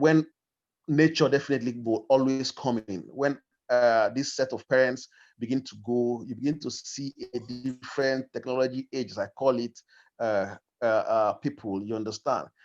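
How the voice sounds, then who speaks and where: A man with a Nigerian accent at a moderate pace, medium in pitch with fairly even intonation, in a dry, close sound with no echo. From Nigeria, Igbo, grew up in Kogi State. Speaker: discussion participant. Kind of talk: group discussion. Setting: video call. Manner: halting.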